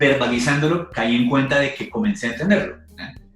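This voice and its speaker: Music sits in the background as a man speaks with a Colombian accent. His pace is moderate and his pitch variation ordinary. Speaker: stand-up comedian. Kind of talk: podcast interview answer.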